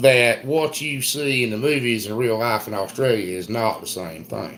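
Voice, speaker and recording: A man speaks with a strong Southern US accent. Noticeable background noise runs behind him. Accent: thick Southern US. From US South, South Carolina. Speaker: homesteader. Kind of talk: casual chat. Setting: live stream.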